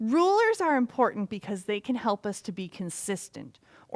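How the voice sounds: The speaker reads in a natural voice.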